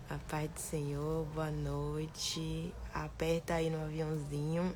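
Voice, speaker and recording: Audible room echo surrounds a woman's voice. She speaks at a very slow pace with very even loudness. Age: 50s. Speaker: evangelical minister. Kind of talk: livestream hosting. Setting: live stream.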